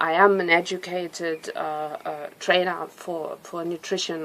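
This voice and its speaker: In a German accent, a woman with a fairly low pitch talks at a fairly slow pace in a monotone, flat way, her loudness swinging widely over noticeable background noise. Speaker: nutrition coach, cancer survivor. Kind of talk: personal testimony. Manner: halting, with fillers.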